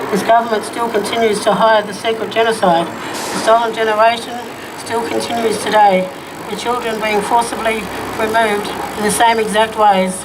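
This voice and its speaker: Noticeable noise fills the background while the words come at a moderate speed. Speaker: activist speaker. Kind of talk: rally speech, poem-like.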